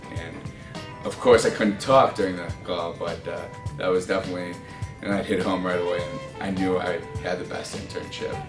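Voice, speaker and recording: Clear music plays behind a man with a very deep, low pitch. He talks at a moderate pace with ordinary pitch variation. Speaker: marketing graduate, intern. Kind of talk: interview answer. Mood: friendly, enthusiastic. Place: office. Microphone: camera far.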